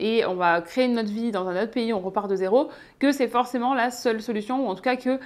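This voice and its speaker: This woman has a fairly high pitch, ordinary pitch variation and a fairly quick pace. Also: very clean recording, silent background. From southeastern France, Ardèche. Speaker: YouTuber / expat vlogger. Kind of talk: casual vlog talk to camera. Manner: hesitant, many filler 'euh'.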